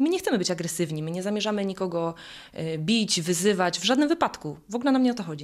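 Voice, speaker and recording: Her words come out at a very fast clip. This woman speaks at a medium pitch. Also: lively intonation. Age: 30s. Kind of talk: interview.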